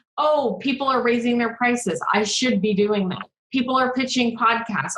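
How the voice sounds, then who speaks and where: In a room with audible echo, a woman speaks at a moderate pace in a fairly high voice with ordinary pitch variation. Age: 30s. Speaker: business coach. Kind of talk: casual chat.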